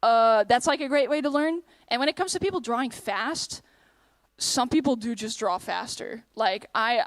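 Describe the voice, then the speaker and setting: A woman with a slight Dutch accent, high in pitch, at a fairly quick pace with ordinary pitch variation, in a very clean recording with a silent background and a dry, close sound with no echo. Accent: slight Dutch accent, often taken for American. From Netherlands. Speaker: convention panelist and streamer. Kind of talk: convention panel Q&A.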